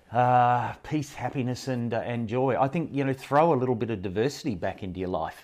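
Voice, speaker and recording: A man in an Australian accent talks with ordinary pitch variation. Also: medium pitch for a man, fairly quick pace, hardly any pauses. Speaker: professional speaker. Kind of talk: interview. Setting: face-to-face studio recording.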